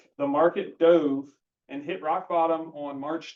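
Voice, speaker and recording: This is a man speaking with a fairly high pitch. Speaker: financial advisor. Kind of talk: presentation to a group. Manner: fast.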